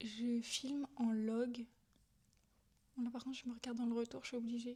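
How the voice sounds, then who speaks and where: A woman talks at a fairly quick pace in a high pitch. Her tone is dark and mellow, her intonation monotone and flat. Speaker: vlogger and ASMR creator. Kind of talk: casual vlog talk. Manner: speaking aloud, not whispering.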